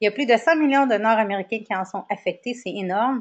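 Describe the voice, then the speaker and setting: The speech moves at a fairly quick pace with lively intonation. The background is quiet. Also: woman. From Quebec. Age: 40s. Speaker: wellness coach. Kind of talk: lecture. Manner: hesitant, many fillers.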